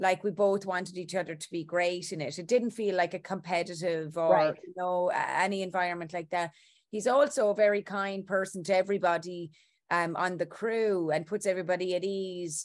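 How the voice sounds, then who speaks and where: Against a quiet background, a woman speaks at a fairly quick pace with fairly even intonation. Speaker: interviewed actress. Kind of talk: interview answer. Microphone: video call.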